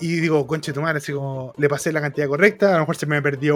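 A man speaking at a very fast pace in a Chilean accent. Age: 20s. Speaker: podcast host. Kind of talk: casual chat.

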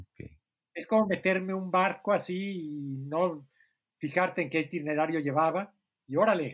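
A man talks at a moderate pace. His voice sits high in pitch. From Mexico. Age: 60s. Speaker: writer and editor. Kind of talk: casual chat.

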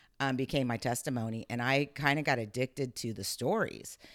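At a moderate pace, a woman speaks in an animated tone in a very clean recording with a silent background. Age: 50s. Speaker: network marketing entrepreneur. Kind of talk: interview.

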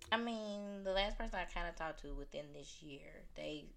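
Moderate pace from a woman speaking in a Southern US accent. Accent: Southern US, noticeable. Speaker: returning guest. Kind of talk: casual chat.

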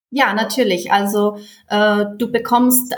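Against noticeable background noise, a woman with a Czech accent speaks at a very slow pace in a medium pitch with fairly even intonation. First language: Czech (speaking German). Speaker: German teacher. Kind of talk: interview. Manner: halting.

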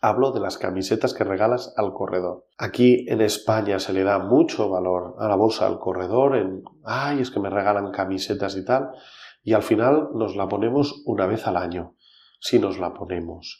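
In a plain, everyday voice, a man speaks at a moderate pace with a fairly low pitch and ordinary pitch variation. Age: 40s. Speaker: trail race organizer and executive. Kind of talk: interview.

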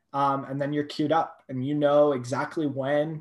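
With an American accent and an ordinary speaking voice, a man talks at a fairly slow pace and a fairly high pitch. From California, Thousand Oaks. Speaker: startup founder. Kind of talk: interview.

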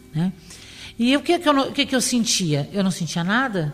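A woman talks with very wide swings in pitch. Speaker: cancer survivor. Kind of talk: testimony.

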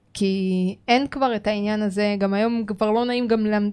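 Speaking at a moderate pace with fairly even intonation, a woman with a medium pitch is heard in a very clean recording with a silent background. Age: 30s. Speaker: podcast co-host. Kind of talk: casual chat. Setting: studio.

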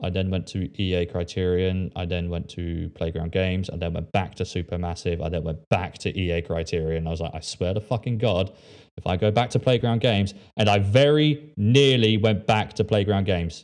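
In a very clean recording with a silent background, a man with an English accent speaks at a moderate pace with a very deep, low pitch and ordinary pitch variation. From England. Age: 20s. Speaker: podcast host. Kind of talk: casual chat.

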